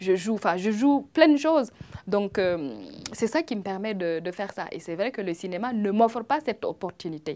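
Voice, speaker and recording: Speaking in a Burkinabe accent at a fairly slow pace, a woman uses lively intonation around a medium pitch. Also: very clean recording, silent background. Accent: Burkinabe African accent in French. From Burkina Faso. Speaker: comedian and actress. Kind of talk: interview. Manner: hesitant, many fillers.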